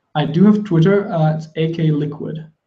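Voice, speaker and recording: A mumbling man with a German accent, his fairly high pitch carrying audible room echo. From Germany, Kassel area. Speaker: music producer. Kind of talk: live stream Q&A. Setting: live stream from home. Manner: mumbles a lot.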